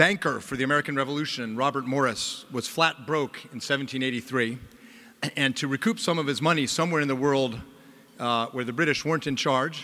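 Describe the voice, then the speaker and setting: The man's tone is bright and sharp, with ordinary pitch variation. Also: moderate pace. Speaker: conference host introducing a speaker. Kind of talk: formal introduction speech. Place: hall. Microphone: podium.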